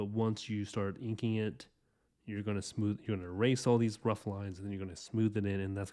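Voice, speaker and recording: A man speaks in a fairly low pitch with a dark, mellow tone. His delivery is monotone and flat at a fairly quick pace, over a quiet background. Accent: American. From Texas. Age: 30s. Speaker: comic artist streamer. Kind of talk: drawing tutorial livestream. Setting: livestream. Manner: casual, halting with fillers.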